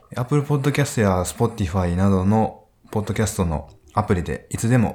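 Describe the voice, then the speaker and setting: This man talks in a fairly low pitch. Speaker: radio host. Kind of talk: casual live-streamed interview. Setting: live stream from hotel studio. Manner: hesitant, filler-heavy.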